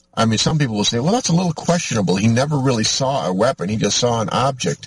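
Very fast speech from a man with an American accent, medium in pitch, with very wide pitch swings. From US Midwest, Michigan. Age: 50s. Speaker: radio host. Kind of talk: talk radio monologue. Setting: in a vehicle on location.

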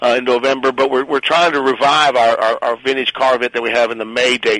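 Speaking at a very fast pace with fairly even intonation, a man is heard in a dry, close sound with no echo. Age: 50s. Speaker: museum staff member. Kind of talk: interview. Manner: halting.

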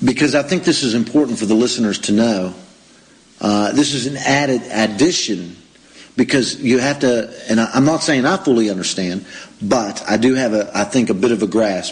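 This man has an American accent and an unremarkable speaking voice at a medium pitch. He talks at a moderate pace with ordinary pitch variation. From United States. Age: 40s. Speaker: radio host. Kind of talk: interview.

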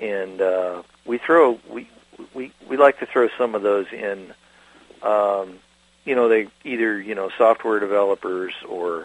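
Fairly slow, fairly low-pitched speech from a man, with ordinary pitch variation and noticeable background noise. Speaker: geospatial magazine writer. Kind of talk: radio interview.

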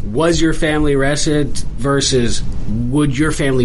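A man's fairly high voice comes through alongside noticeable background noise. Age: 30s. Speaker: law student, army veteran. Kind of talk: radio interview, conversational guest. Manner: casual, candid, conversational.

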